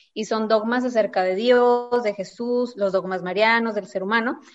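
Using an ordinary speaking voice, a woman talks fairly high in pitch, at a moderate pace, with fairly even intonation. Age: 30s. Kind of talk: casual religious discussion.

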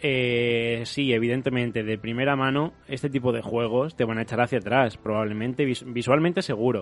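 With music in the background, a man with a Spanish accent speaks at a medium pitch with fairly even intonation. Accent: Peninsular Spanish. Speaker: radio host. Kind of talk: casual chat.

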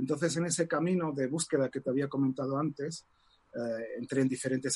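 A man with a plain, everyday voice speaks fairly quickly at a fairly high pitch, keeping his intonation fairly even. The sound is dry and close, with no echo. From Morocco (Casablanca), Spanish mother. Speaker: tarot reader and author. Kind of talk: interview.

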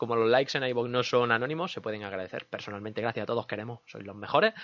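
A man with a slight Andalusian accent, very fast and with hardly any pauses, his loudness swinging widely. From Andalusia, Linares (Jaén), Spain. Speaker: gaming podcast host. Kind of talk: casual chat; news reading. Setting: studio.

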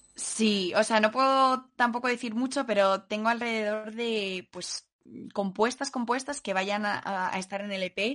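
An unremarkable speaking voice, this woman's is fairly high in pitch, fairly slow and fairly even in intonation, over a quiet background. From Madrid, Spain. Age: 20s. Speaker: singer-songwriter. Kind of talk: interview.

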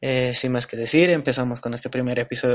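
In an ordinary speaking voice, a man talks at a fairly quick pace and a medium pitch. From Bolivia, El Alto. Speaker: podcast host, law student. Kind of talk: scripted introduction.

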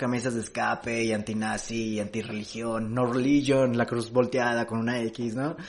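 Music plays in the background as a man speaks at a medium pitch. His pace is moderate and his intonation fairly even. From Mexico, Jalisco (Amatitán, Guadalajara). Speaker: stand-up comedian. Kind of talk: casual chat.

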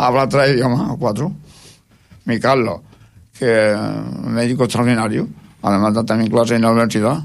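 Speaking at a moderate pace, a man with a medium pitch shows vocal fry and ordinary pitch variation. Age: 80s+. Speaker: retired schoolteacher. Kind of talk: interview. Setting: radio studio. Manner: halting.

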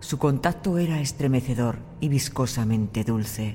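Over music in the background, a man with a medium-pitched voice speaks at a fairly slow pace with ordinary pitch variation. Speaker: audiobook narrator. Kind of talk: horror story narration, first-person diary, read aloud. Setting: studio. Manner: slow, hushed, suspenseful, creeping dread; measured, deliberate pacing with ominous pauses.

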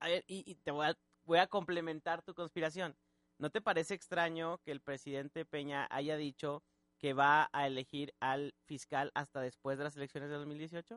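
Recorded dry and close with no echo against a quiet background, a man with an unremarkable speaking voice talks at a moderate pace, fairly high in pitch with fairly even intonation. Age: 20s. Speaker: radio host. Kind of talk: casual chat. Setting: studio.

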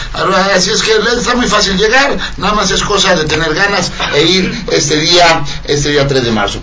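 A man's high-pitched, animated voice at a moderate pace, lively in intonation and very even in loudness, with audible room echo and noticeable background noise. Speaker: radio host. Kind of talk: casual chat. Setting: radio studio.

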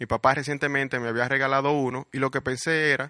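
Fairly quick speech from a man, bright and sharp in tone, with a dry, close sound with no echo over a quiet background. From Dominican Republic, Puerto Plata. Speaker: podcast host, marketer. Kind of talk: scripted narration.

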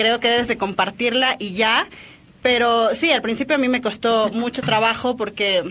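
Her pitch fairly high and her intonation fairly even, a woman speaks at a fairly slow pace. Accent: Mexican. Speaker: drummer. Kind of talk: interview.

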